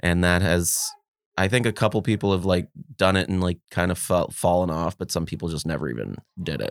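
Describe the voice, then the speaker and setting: On a very clean recording with a silent background and a dry, close sound with no echo, a man with a Californian accent talks at a fairly quick pace, his very deep, low pitch showing ordinary variation and vocal fry. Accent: Californian American. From US West Coast, Los Angeles (Mar Vista). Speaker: comedian. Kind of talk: casual chat.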